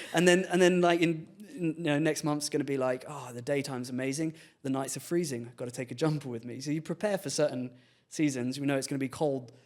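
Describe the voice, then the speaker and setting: A man with a London accent talks very fast at a fairly high pitch, with ordinary pitch variation. His loudness swings a lot, and the recording is very clean with a silent background. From England, London. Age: 30s. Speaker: filmmaker and content creator. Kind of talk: podcast interview, casual chat. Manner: halting, many restarts.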